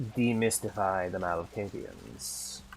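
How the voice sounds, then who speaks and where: A man's put-on character voice, very deep and low, delivered at a fairly slow pace against clear background noise. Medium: game stream. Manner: grandiose, oddly worded.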